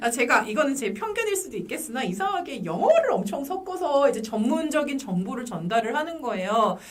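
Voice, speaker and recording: Barely pausing, a woman talks at a fairly quick pace with a high pitch and very wide pitch swings, over noticeable background noise. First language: English (speaking Korean). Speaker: clinical psychologist. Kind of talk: casual chat.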